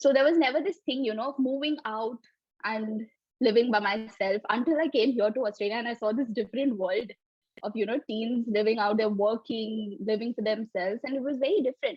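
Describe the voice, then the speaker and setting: A woman with an Indian accent speaks at a fairly high pitch with ordinary pitch variation. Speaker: developer. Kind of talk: interview.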